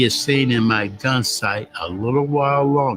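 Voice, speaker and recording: A man with an American accent at a fairly slow pace, music in the background. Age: 90s. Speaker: war veteran, fighter pilot. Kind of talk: interview answer, personal war memories.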